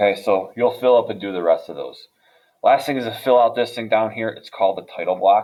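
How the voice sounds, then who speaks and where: A man with an unremarkable speaking voice at medium pitch, ordinary pitch variation, big swings in loudness and a fairly quick pace. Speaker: high school drafting teacher. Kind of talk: tutorial. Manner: casual.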